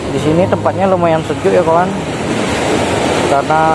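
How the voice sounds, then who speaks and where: Music plays in the background as a man speaks in a dry sound with no echo. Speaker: fishing vlogger. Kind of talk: casual vlog chat. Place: beach. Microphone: phone near.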